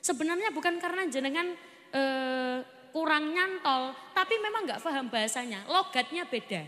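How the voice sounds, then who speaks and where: Her voice raised and projected, a woman speaks at a moderate pace with very wide pitch swings. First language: Javanese (speaking Indonesian). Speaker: Islamic preacher. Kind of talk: sermon. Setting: stage with audience.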